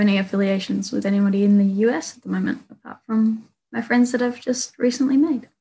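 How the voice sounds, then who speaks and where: A somewhat breathy voice at a fairly quick pace. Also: woman. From Australia. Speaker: panelist. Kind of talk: panel discussion.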